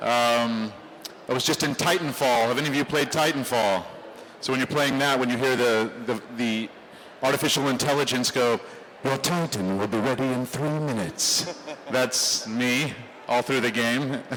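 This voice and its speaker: Medium pitch from a man, very even loudness, noticeable background noise throughout. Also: ordinary pitch variation, moderate pace. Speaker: voice actor. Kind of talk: convention panel talk. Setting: convention stage, live audience.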